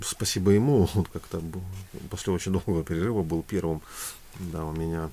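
A man with a very deep, low pitch and a dark, mellow tone speaks at a moderate pace. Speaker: singer and voice-over announcer. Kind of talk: casual chat.

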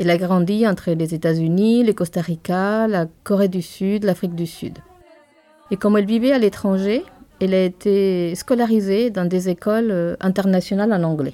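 With a Spanish accent, a woman speaks at a moderate pace in a medium pitch, her intonation fairly even. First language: Spanish (speaking French). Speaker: bookseller, podcast co-host.

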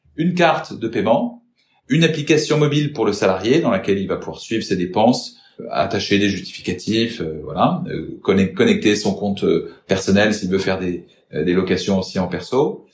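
At a moderate pace, a man speaks somewhat breathily, his fairly low pitch moving in very wide swings. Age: 30s. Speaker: business development manager at a mobility company. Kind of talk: interview.

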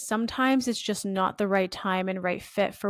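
In a dry, close sound with no echo and a very clean recording with a silent background, a woman with a plain, everyday voice speaks at a medium pitch and a moderate pace with fairly even intonation. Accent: Canadian. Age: 20s. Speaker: influencer marketing agency owner. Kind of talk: interview.

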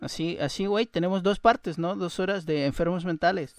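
A man with a Chilean accent, high-pitched, at a moderate pace over a quiet background. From Chile, Viña del Mar. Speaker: podcaster and freestyle rapper. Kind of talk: casual chat.

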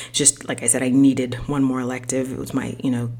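Woman with a very deep, low pitch and an American accent, moderate pace, noticeable background noise. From US, Haitian American family. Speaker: podcast host. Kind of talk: personal monologue. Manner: hesitant, many fillers.

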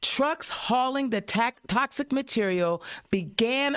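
In a very clean recording with a silent background, a woman with an American accent speaks at a very slow pace, her pitch swinging very widely. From Indiana. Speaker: podcast host. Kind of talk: casual political talk show. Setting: studio. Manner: animated.

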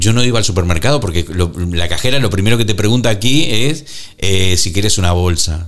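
A man speaks with ordinary pitch variation. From Argentina. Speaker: podcast co-host, former radio host. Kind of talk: casual chat.

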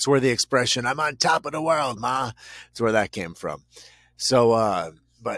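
Recorded very cleanly with a silent background and a dry, close sound with no echo, a man speaks at a moderate pace. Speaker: podcast co-host. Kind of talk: casual chat. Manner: loud.

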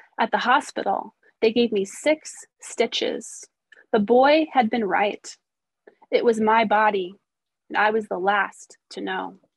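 A woman with an American accent speaks at a fairly slow pace with vocal fry, ordinary pitch variation, and long, frequent pauses. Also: fairly high pitch for a woman. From US Midwest, rural Missouri. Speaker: poet. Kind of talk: poetry reading. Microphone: phone.

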